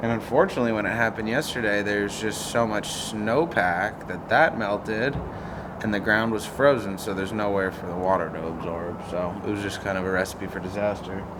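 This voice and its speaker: Amid noticeable background noise and audible room echo, a man with a fairly low pitch talks at a moderate pace with fairly even intonation. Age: 30s. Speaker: vlogger, cat rescuer. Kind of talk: casual vlog monologue. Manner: casual, conversational.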